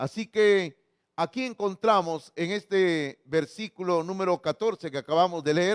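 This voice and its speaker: A man speaks at a fairly slow pace in a high voice with ordinary pitch variation. The sound is dry and close, with no echo. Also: very clean recording, silent background. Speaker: pastor. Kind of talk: sermon.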